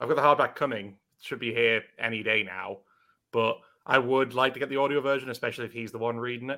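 Speaking at a very fast pace, a man uses a medium pitch and fairly even intonation. His tone is bright and sharp, with a British accent. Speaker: podcast host. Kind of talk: casual banter podcast. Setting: live stream.

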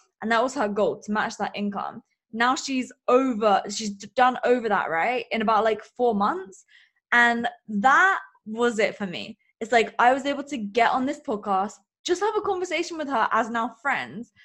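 With an English accent, a woman talks at a moderate pace in a high pitch, her animated tone and lively intonation keeping things moving. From England. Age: 20s. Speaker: business coach and podcaster. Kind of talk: interview.

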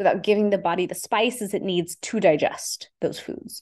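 With a Texas accent, a woman speaks at a medium pitch with fairly even intonation. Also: quiet background. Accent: American, Texas. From Houston, Texas, US (Indian immigrant family). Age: 40s. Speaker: Ayurvedic practitioner. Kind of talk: interview.

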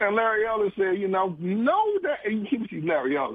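At a fairly quick pace, a high-pitched man talks with very wide pitch swings. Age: 50s. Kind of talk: phone-in commentary.

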